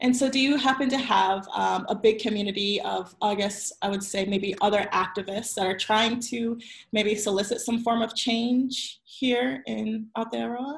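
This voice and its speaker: A fairly high, somewhat breathy woman's voice against a quiet background. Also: ordinary pitch variation, moderate pace, hardly any pauses. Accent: American. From US South, Virginia Beach. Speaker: interview host, marketing consultant. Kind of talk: interview. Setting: live video stream. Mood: warm, friendly. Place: home room. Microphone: video call.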